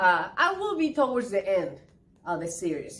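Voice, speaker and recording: Animated in tone with lively intonation, a woman with a Spanish accent talks at a moderate pace. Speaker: interpreter and actress. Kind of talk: casual interview.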